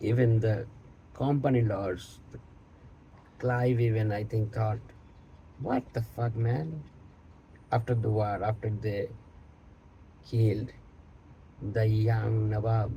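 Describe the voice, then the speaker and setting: Very slow, somewhat breathy speech from a man with a Bengali accent, medium pitch, dark, mellow tone, fairly even intonation and long, frequent pauses. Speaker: online content creator. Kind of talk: casual monologue on history.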